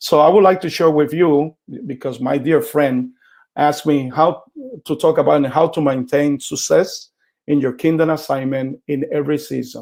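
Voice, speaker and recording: Heard in a very clean recording with a silent background, a man speaks with a Puerto Rican accent. His pitch is fairly high, his pace moderate and his intonation fairly even. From Puerto Rico. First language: Spanish. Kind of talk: teaching talk.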